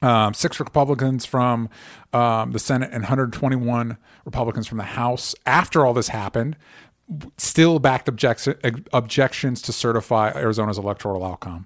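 A man with an American accent has an ordinary speaking voice at a medium pitch with ordinary pitch variation. He keeps a moderate pace, and the recording is very clean with a silent background. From US South (Florida). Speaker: podcast host. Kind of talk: casual chat.

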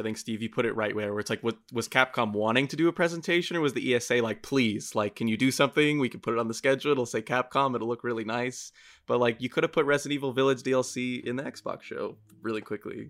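Very fast speech with ordinary pitch variation on a very clean recording with a silent background. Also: man. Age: 20s. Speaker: video producer. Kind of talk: casual chat.

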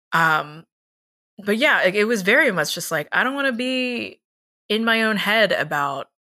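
A woman with an American accent speaks at a moderate pace with lively intonation and a bright, sharp tone, recorded very cleanly over a silent background. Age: 20s. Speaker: tabletop RPG performer and podcast co-host. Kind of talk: casual chat.

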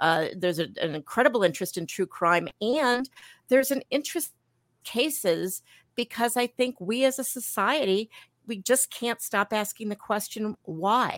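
On a very clean recording with a silent background and a dry, close sound with no echo, a woman with an American accent speaks at a moderate pace and fairly high pitch with lively intonation. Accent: slight New York accent on some words. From Milwaukee, Wisconsin. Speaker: author and former journalist. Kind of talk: interview.

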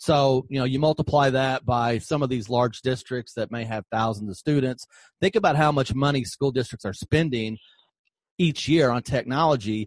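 A man in a normal speaking voice talks at a moderate pace and medium pitch with ordinary pitch variation, the sound dry and close with no echo. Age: 50s. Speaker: podcast host, former school superintendent. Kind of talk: interview podcast.

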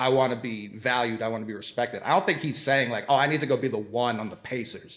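An ordinary speaking voice with an American accent moves at a fairly quick pace, showing ordinary pitch variation. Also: man. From Boston, US. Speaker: basketball commentator. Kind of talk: casual chat.

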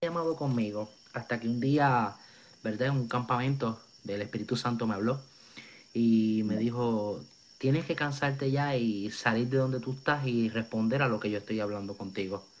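The speaker has a Puerto Rican accent and ordinary pitch variation at a moderate pace. The background is quiet. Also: man, medium pitch for a man. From Puerto Rico. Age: 20s. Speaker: evangelist. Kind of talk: testimony. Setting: video call.

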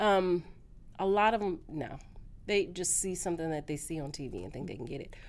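A woman with an American accent speaks at a fairly quick pace in an ordinary speaking voice, fairly low, with ordinary pitch variation. Her loudness swings widely. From California. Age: 40s. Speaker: social media influencer. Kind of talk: casual interview chat.

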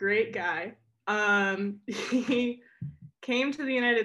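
At a very slow pace, a woman with an American accent talks in a bright, sharp tone with ordinary pitch variation against a quiet background. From US Northeast (Connecticut). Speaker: artist and skier. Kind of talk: casual chat.

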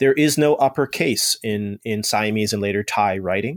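With an American accent, a man speaks at a moderate pace on a very clean recording with a silent background and a dry, close sound with no echo. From US East Coast. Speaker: historian and author. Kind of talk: interview. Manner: halting, many fillers and repeats.

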